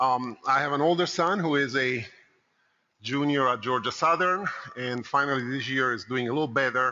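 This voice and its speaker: A man with a slight Italian accent speaks at a moderate pace with ordinary pitch variation. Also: medium pitch for a man. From Italy (Rome). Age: 50s. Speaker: consultant. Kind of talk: conference talk. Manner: conversational, with fillers.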